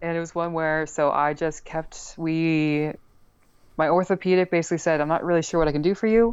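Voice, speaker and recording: A woman with an American accent talks in an ordinary speaking voice. The background is quiet. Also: fairly low pitch for a woman, fairly even intonation, fairly quick pace. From US Northeast. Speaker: chronic illness patient. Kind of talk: interview.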